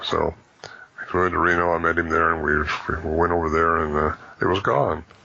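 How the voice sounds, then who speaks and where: A man with a very deep, low voice speaks fairly quickly in a monotone, flat way. His loudness stays very even over noticeable background noise. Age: 70s. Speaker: bigfoot researcher and author. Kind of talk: interview. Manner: halting.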